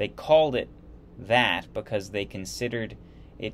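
There is light background noise as a man talks with ordinary pitch variation. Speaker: history video host. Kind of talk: lecture. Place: home room. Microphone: webcam.

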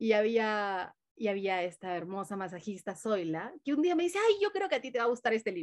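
A woman talks against a quiet background. Her pitch is fairly high. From Peru. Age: 40s. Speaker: mindfulness teacher; interview guest, mindfulness teacher. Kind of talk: casual interview; guided meditation. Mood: warm, smiling, animated. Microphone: video call.

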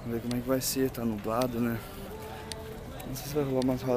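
A man speaks with monotone, flat intonation. The sound is dry with no echo, though noticeable background noise is present. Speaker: vlogger. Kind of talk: casual vlog chat. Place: waterside. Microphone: phone near.

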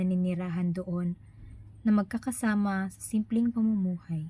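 Somewhat breathy with a dark, mellow tone, a woman speaks at a moderate pace in a medium pitch with fairly even intonation. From Philippines, Bohol. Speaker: vlogger. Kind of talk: personal narrative, read aloud. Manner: halting.

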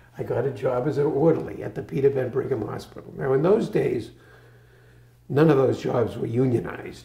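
Audible room echo surrounds a man with an American accent, his dark, mellow voice somewhat breathy. He moves at a fairly quick pace with ordinary pitch variation. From Boston area, Massachusetts. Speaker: retired physician. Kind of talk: oral history interview. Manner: halting. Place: home room. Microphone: lapel.

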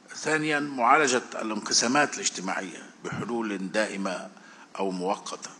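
A man's intonation is lively while his pace stays fairly slow. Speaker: journalist and political analyst; speaker. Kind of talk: prepared talk. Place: hall. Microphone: too far from the mic; podium.

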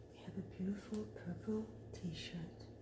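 A woman's very slow speech competes with loud background noise. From France. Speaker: ASMR content creator. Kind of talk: ASMR folding tutorial.

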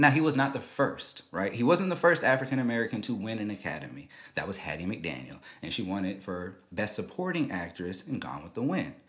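A man talks fairly quickly at a fairly low pitch, with vocal fry and very wide pitch swings. The background is quiet. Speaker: show host. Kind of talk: commentary. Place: studio. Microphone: studio mic.

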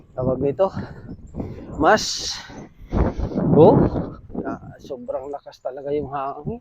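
A man's fairly high pitch with ordinary pitch variation and big swings in loudness, at a very slow pace with long, frequent pauses, over noticeable background noise. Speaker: vlogger. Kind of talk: casual vlog narration. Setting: outdoors, biking home.

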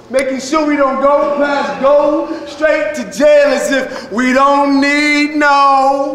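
Against noticeable background noise, a man speaks with an intense tone at an extremely high pitch. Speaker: poet, activist, motivational speaker; keynote speaker at a high school. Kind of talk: spoken word poetry performance. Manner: rhythmic, intense.

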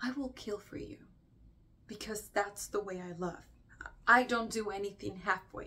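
A woman's bright, sharp tone with lively intonation at a moderate pace. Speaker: actor performing a monologue. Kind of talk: dramatic monologue. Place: home room.

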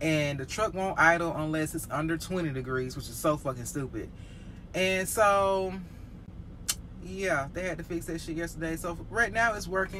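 Over light background noise, a woman with a fairly low pitch and a bright, sharp tone talks at a moderate pace with ordinary pitch variation. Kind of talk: casual vlog chat. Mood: frustrated venting. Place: car. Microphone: phone near.

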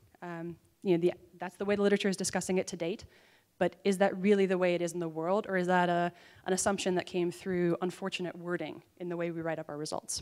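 Against a quiet background, a woman speaks very fast in a fairly low, flat, monotone voice. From US Midwest, Minnesota. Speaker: PhD student and lawyer presenting research. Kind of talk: conference presentation. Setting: conference stage with audience. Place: hall. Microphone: handheld.

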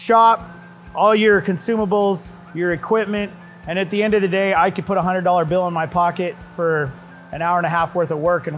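Faint music sits in the background as a man speaks at a fairly quick pace with a high pitch and fairly even intonation. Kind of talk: casual tutorial talk to camera. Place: workshop.

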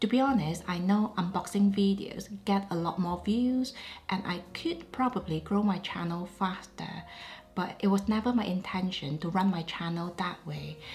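Noticeable background noise behind a woman's medium-pitched voice, its pitch varying in an ordinary way. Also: moderate pace. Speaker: luxury fashion YouTuber. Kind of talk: casual chit-chat talk to camera.

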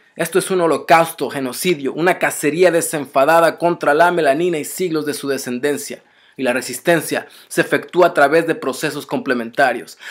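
In an angry, intense tone, a man speaks at a moderate pace with ordinary pitch variation against a quiet background. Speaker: spoken word poet. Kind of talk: spoken word poem, defiant political protest verse. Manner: intense, rhythmic, forceful; angry, accusatory, urgent. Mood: angry, defiant. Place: home room. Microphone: webcam.

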